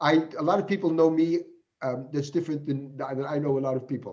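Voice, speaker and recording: Here a man speaks at a moderate pace with an American accent. His voice is fairly high in pitch and somewhat breathy. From United States. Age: 60s. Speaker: professor. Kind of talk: Q&A after keynote lecture. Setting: online video conference. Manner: halting.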